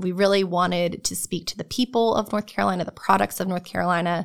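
The recording is very clean, with a silent background. A woman with a plain, everyday voice and an American accent speaks at a medium pitch with fairly even intonation. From New Jersey. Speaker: research park programming director. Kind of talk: interview. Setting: studio.

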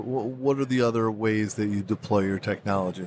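Moving at a fairly quick pace, a man uses an unremarkable speaking voice, fairly low in pitch, with ordinary pitch variation. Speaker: podcast host. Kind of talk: interview.

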